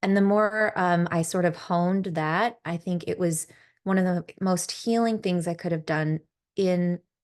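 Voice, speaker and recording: Soft-spoken, a woman talks at a fairly slow pace in a medium pitch with fairly even intonation. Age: 40s. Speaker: podcast host and yoga teacher. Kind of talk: casual chat. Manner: soothing.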